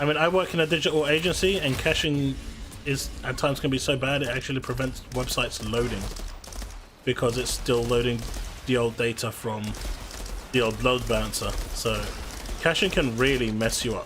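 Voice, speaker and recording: Over noticeable background noise, a man with a medium pitch and ordinary pitch variation talks at a fairly quick pace broken by long, frequent pauses. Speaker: gaming streamer. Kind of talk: live stream chat while gaming. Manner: stuttering at the moment.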